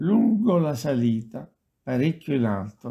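A man speaks at a medium pitch with a slightly husky edge. His pace is fairly slow, and his pitch swings are big.

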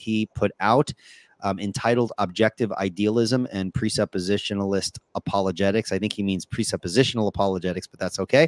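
A man with a fairly low pitch talks at a fairly quick pace with fairly even intonation. The background is quiet and the sound dry, without echo. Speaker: podcast host. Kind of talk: casual show introduction. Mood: friendly, laughing. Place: home room. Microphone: headset.

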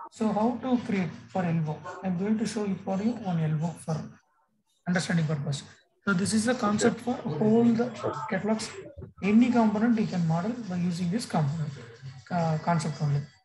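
The speech moves at a fairly quick pace. Background noise is noticeable. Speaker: software instructor. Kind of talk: tutorial. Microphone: video call.

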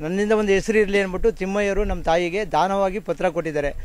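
In a dry recording with no echo, a man with a high pitch speaks with fairly even intonation. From Karnataka, Bengaluru rural village; Karnataka. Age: 50s. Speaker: affected resident, farm labourer. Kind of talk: testimony to press. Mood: aggrieved, complaining. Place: open country. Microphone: handheld.

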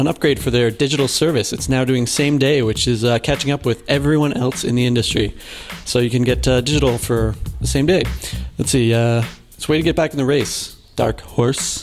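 Over music in the background, a man speaks at a fairly quick pace with fairly even intonation. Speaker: news segment host. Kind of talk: casual news commentary. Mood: jokey, light. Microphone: handheld.

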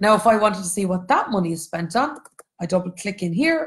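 A woman with a Cork accent, somewhat breathy, at a fairly quick pace. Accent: Irish (Cork). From Ireland, Cork. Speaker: economics educator and textbook co-author. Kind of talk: online lecture for students and teachers. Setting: Facebook Live stream with screen share.

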